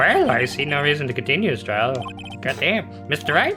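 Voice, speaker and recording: A put-on character voice in a low-to-middle pitch moves at a fairly quick pace. Clear music plays in the background. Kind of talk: comic overacting. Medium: actual play.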